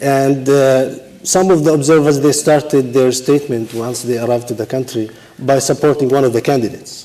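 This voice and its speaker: A man with an Arabic accent talks at a fairly quick pace with hardly any pauses and fairly even intonation, over noticeable background noise. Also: medium pitch for a man. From Palestine. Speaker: election administrator. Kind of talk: panel discussion. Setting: stage with audience.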